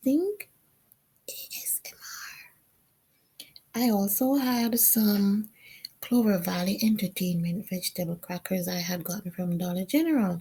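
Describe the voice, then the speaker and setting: A woman's somewhat breathy voice at a fairly slow pace, with long, frequent pauses, ordinary pitch variation and big swings in loudness. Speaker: vlogger. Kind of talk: personal testimony vlog narration.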